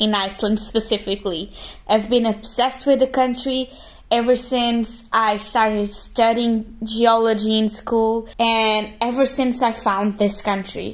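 In a Portuguese accent, a woman speaks fairly slowly at a fairly high pitch with fairly even intonation. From Portugal. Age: 20s. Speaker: geology graduate. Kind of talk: vlog voiceover narration.

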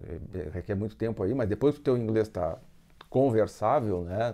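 A man talks at a moderate pace in a dark, mellow tone. His pitch varies in an ordinary way against a quiet background. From Brazil, Rio Grande do Sul (Rio Grande). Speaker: engineer and student immigrant. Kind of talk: interview. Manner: halting.

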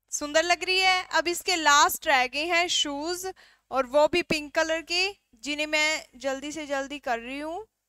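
A woman projects a raised voice with a bright, sharp tone and ordinary pitch variation. The sound is dry with no echo, over a quiet background. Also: fairly slow pace. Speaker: drawing teacher. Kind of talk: tutorial. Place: studio. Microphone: headset.

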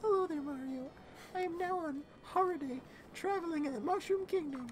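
Over clear background noise, a put-on character voice at an extremely high pitch moves at a fairly quick pace. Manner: exaggerated.

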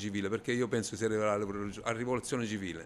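A man talks at a very fast pace. Light background noise can be heard behind him. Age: 50s. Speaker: business owner, baker. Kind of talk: street interview. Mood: angry, frustrated. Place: shop. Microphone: handheld.

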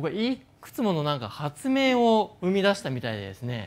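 A man talks with very wide pitch swings. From Japan. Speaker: neuroscientist and company founder; speaker. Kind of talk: stage talk. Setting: stage with audience. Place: stage. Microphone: lapel.

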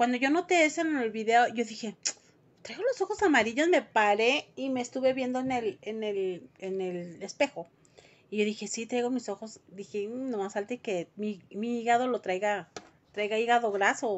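Speaking in a Mexican accent at a moderate pace, a woman with a fairly high pitch sounds animated, with lively intonation. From Mexico. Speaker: vlogger. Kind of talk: casual chat. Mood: worried, expressive. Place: home room. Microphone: phone near.

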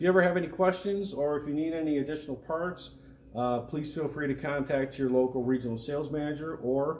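A man speaks with ordinary pitch variation. Light background noise and audible room echo are present. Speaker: equipment product demonstrator. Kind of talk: tutorial. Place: workshop.

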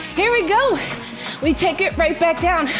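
Over clear background music, a woman talks at an extremely high pitch. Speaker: fitness instructor. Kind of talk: workout coaching cues. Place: home room.

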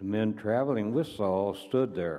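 A dark, mellow tone moves at a fairly slow pace with ordinary pitch variation. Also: man. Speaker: church elder reading scripture. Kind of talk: reading aloud. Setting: church. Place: church.

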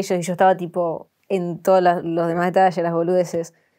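Speaking at a fairly quick pace, a woman talks. She has a Buenos Aires accent. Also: quiet background. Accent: Rioplatense Spanish, Buenos Aires. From Argentina, Buenos Aires area (La Matanza); Argentina. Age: 20s. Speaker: content creator. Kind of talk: interview. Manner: casual, slangy. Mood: relaxed, laughing at times. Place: studio. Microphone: lapel.

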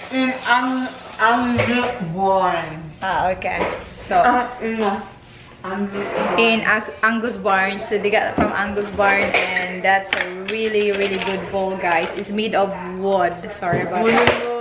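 Against loud background noise, a woman speaks at a very slow pace. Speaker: vlogger. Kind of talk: casual vlog chat. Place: kitchen. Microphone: phone near.

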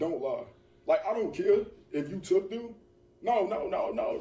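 Audible room echo hangs around the man who is speaking. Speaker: online video creator in clip. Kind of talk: casual skit chat. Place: home room. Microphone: phone near.

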